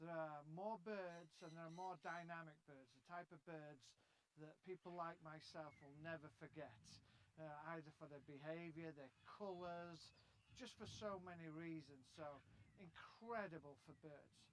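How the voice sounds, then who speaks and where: With an English accent, a man talks at a fairly slow pace and a fairly high pitch. His intonation stays fairly even while his loudness swings widely. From England. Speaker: bird book author. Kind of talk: interview.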